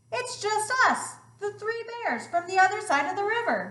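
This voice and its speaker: Using a put-on character voice, a woman speaks squeaky and extremely high at a moderate pace with ordinary pitch variation. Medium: read story.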